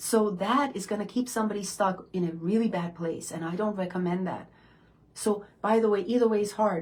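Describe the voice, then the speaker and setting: Somewhat breathy, a woman talks at a medium pitch and a moderate pace with ordinary pitch variation. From immigrant, foreign-born. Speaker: self-development coach, hypnotherapist. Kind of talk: motivational talk. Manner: animated.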